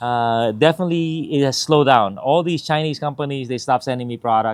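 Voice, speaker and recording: Speaking at a fairly quick pace with ordinary pitch variation, a man has a normal speaking voice on a very clean recording with a silent background. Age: 50s. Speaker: RC product reviewer, YouTuber. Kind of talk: casual vlog update. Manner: casual, with many fillers.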